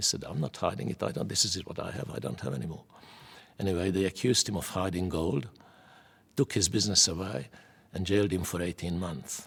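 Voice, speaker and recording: A man's very deep, low voice with vocal fry, ordinary pitch variation, a fairly quick pace and a Hungarian accent. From Hungary. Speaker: Holocaust survivor. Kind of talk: oral history testimony.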